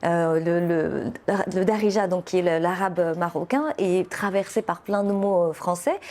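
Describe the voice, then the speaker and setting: Speaking with a Moroccan accent, a woman at fairly low pitch keeps a fairly slow pace, very even loudness and ordinary pitch variation over noticeable background noise. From Morocco. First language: Moroccan Arabic (speaking French). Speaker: poet and novelist. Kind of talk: interview. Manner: hesitant, many fillers.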